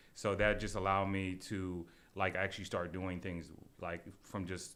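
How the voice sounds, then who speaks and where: The speaker has an American accent and a monotone, flat delivery. The pace is moderate. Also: man, very deep, low pitch for a man. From US Midwest, Shaker Heights near Cleveland, Ohio. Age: 20s. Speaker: food entrepreneur. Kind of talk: casual interview.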